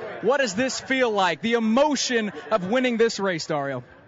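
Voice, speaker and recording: Over noticeable background noise, a man talks at a fairly slow pace with an extremely high pitch. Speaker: motorsport radio pit reporter. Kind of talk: live radio play-by-play from victory lane. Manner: energetic.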